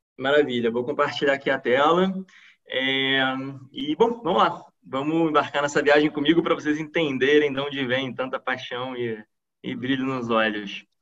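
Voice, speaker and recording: A man with a Carioca accent talks at a moderate pace. His voice is fairly high with ordinary pitch variation. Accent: carioca Brazilian Portuguese. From Brazil, Rio de Janeiro. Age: 30s. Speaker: PhD student scientist. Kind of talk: online science talk. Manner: many filler hesitations.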